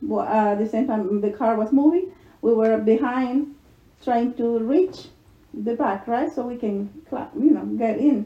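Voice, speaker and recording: Speaking at a fairly slow pace, a woman uses a fairly high pitch, a dark, mellow tone and ordinary pitch variation. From El Salvador. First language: Spanish. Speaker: mother telling her life story. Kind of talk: casual chat. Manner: halting.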